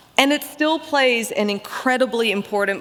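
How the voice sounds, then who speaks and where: A woman speaks at a fairly quick pace with a fairly high pitch and very wide pitch swings. Background noise is noticeable. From Australia (Melbourne). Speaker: keynote speaker, barbecue writer. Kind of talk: keynote speech.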